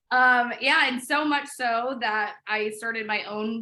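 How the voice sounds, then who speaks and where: A woman talks at a fairly slow pace with a slight Midwestern accent. Her tone is bright and sharp. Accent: slight Midwest. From US Midwest, Chicago. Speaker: interior designer. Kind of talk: interview.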